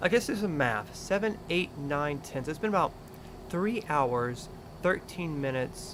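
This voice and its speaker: The intonation is lively and the tone relaxed. The voice carries a Florida accent. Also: man. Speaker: gaming live streamer. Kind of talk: casual live stream chat. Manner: relaxed, conversational.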